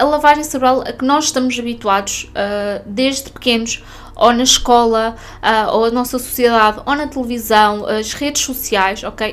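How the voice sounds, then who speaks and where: A woman talks at a moderate pace with a high pitch and ordinary pitch variation, over noticeable background noise. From northern Portugal. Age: 30s. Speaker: podcast host and spiritual mentor. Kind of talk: casual monologue podcast.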